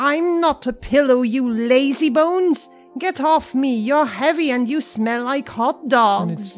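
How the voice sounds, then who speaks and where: A female-sounding, put-on character voice talks at a fairly slow pace with hardly any pauses, faint music playing in the background. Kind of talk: comic overacting. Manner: loud, indignant, exasperated.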